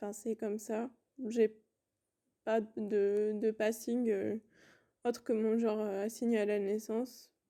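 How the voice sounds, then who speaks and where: Speaking at a very slow pace, a woman with a fairly high pitch and a dark, mellow tone keeps a monotone, flat intonation. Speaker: non-binary interviewee. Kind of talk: testimony. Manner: hesitant, many fillers.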